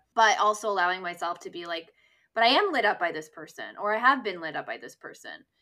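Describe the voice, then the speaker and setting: A woman with a Canadian accent talks at a very fast pace in a bright, sharp, medium-pitched voice, her intonation lively and her loudness swinging widely. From Canada, near Toronto. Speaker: podcast host and dating writer. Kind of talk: casual chat. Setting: video call.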